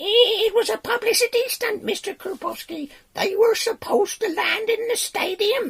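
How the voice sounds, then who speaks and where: Someone puts on a character voice, pitched extremely high and delivered at a moderate pace. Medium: read story. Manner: timid.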